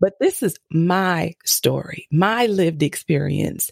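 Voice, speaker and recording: Marked by vocal fry and ordinary pitch variation, the voice moves at a very slow pace, its sound dry and close with no echo. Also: woman. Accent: American. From US East Coast. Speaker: mom coach and podcast host. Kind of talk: interview conversation.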